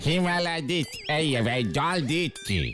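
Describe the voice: A man puts on a cartoonish character voice pitched high for a man. Clear background noise runs behind him.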